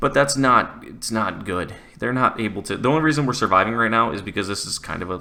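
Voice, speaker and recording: The speaker is a man. He mumbles his words. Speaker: gaming YouTuber. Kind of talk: gameplay commentary. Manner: mumbling; casual, conversational.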